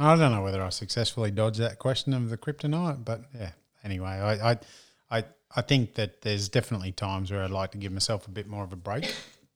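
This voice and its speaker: With a strong Australian accent, a man talks very fast at a fairly low pitch with ordinary pitch variation. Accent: broad Australian. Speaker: business strategist and speaker. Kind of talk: casual interview conversation.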